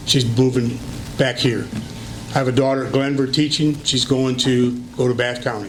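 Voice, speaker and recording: In an American accent, a man talks at a moderate pace and medium pitch, with audible room echo and noticeable background noise. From Michigan, US Midwest. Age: 70s. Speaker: retired teacher and local politician. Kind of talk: interview for school board position.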